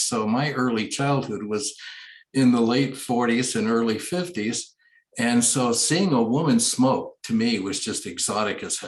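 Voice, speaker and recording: With an American accent, the speaker goes at a moderate pace with ordinary pitch variation, and audible room echo fills the recording. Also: man. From California, US. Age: 70s. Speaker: recovery group speaker. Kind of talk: personal testimony. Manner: halting, with many fillers and restarts.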